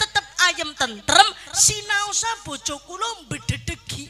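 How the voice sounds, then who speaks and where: Speaking in a Banyumasan accent, a woman uses a raised, projected voice with very wide pitch swings. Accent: Banyumasan Javanese (Ngapak). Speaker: Islamic preacher. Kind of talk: humorous religious sermon to a live audience. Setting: live event with audience. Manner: lively, humorous.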